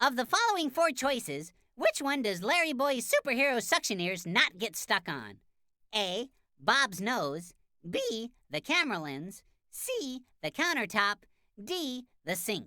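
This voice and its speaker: A cartoonish character voice moves at a moderate pace with very wide pitch swings. The recording is very clean, with a silent background. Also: female-sounding voice, high pitch for a woman. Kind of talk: children's cartoon quiz. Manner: bright, clear, upbeat.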